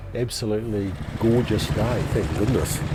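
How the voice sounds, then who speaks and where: A man speaks with fairly even intonation at a moderate pace against noticeable background noise. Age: 60s. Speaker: vintage motorcycle rider. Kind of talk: casual interview.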